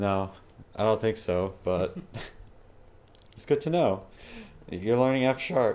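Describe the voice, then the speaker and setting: The voice is loud, broken up by long, frequent pauses. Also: man, medium pitch for a man. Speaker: programming tutor streamer. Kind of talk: live-streamed coding tutorial with casual chat. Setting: live stream. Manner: casual, filler-heavy. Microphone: new mic, may sound louder.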